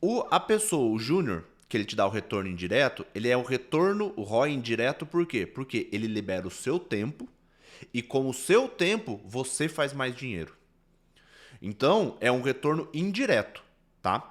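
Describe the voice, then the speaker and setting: Very wide pitch swings from a man at a moderate pace, the recording very clean and the background silent. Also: medium pitch for a man. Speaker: business consultant. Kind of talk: recorded lecture. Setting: solo recording instead of livestream. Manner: explanatory, conversational.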